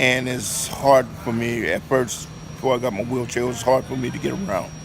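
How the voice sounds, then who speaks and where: With an American accent, a man talks at a fairly quick pace in a medium pitch with ordinary pitch variation. Noticeable background noise is present. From Oakland, California. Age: old. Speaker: homeless shelter resident. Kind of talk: interview testimony.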